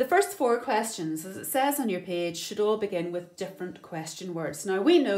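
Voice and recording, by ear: This is reading aloud in a natural voice with lively intonation.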